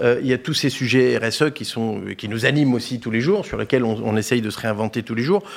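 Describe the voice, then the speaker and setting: A man speaks at medium pitch with ordinary pitch variation on a very clean recording where the background is silent. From Saint-Denis, Paris region, France. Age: 40s. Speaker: business executive. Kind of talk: interview. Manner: halting.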